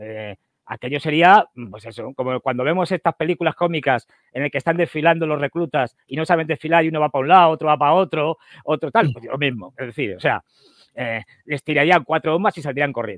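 A man talks at a fairly quick pace with a fairly high pitch and ordinary pitch variation. The sound is dry with no echo, and the background is quiet. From Spain. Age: 60s. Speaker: geopolitical analyst. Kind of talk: casual interview. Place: home room. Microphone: headset.

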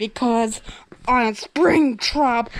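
A put-on character voice, female-sounding and fairly high in pitch. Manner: menacing, sinister.

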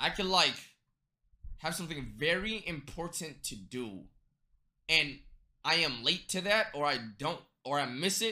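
With a quiet background behind him, a man speaks at a fairly slow pace using vocal fry and long, frequent pauses. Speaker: streamer. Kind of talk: casual stream chat. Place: home room.

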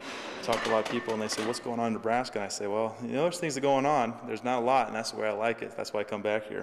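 A man talks with fairly even intonation while noticeable background noise is heard. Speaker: former football player who returns to train with the team. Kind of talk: interview answer.

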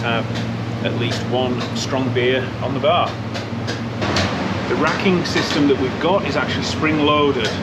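A man at a moderate pace, with long, frequent pauses over loud background noise. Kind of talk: walkthrough tour commentary. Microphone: phone near.

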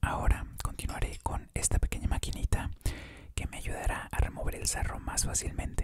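The voice is a whisper with a soothing tone. It moves at a moderate pace. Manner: soft ASMR murmur, soothing.

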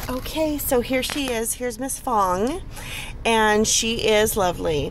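A woman with a fairly high voice speaks at a very slow pace with lively intonation. The sound is dry with no echo, and there is light background noise. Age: 40s. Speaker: stay-at-home mom. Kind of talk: casual product review to camera. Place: car. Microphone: phone near.

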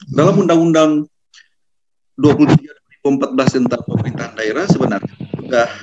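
Over loud background noise, a man with a fairly high pitch talks at a moderate pace. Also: long, frequent pauses. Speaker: constitutional law expert; panelist. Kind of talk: webinar talk. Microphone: webcam.

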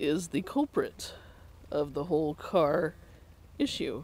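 A man's voice in a dry recording with no echo. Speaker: vlogger. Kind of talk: casual vlog chat. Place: waterside. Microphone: phone near.

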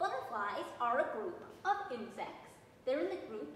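Here a woman talks at a moderate pace. Audible room echo and light background noise surround her voice. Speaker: garden educator. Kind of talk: lecture. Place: classroom. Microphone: phone near.

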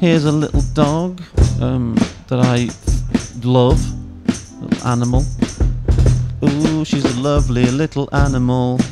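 With loud music in the background, a man speaks at a fairly slow pace with long, frequent pauses, in a dry sound with no echo. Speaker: live stream host. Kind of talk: casual vlog chat. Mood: playful, relaxed. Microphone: studio mic.

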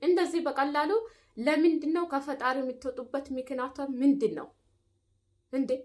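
Her voice sits high for a woman, with ordinary pitch variation, and the background stays quiet. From Ethiopia. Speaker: YouTuber, domestic worker in the Gulf; vlogger reacting to a video. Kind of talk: vlog monologue with advice. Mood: indignant, critical. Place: home room. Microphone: phone near.

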